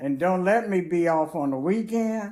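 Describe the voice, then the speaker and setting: A woman's dark, mellow tone with very wide pitch swings. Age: old. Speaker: grandmother telling life stories. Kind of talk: casual chat. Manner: halting.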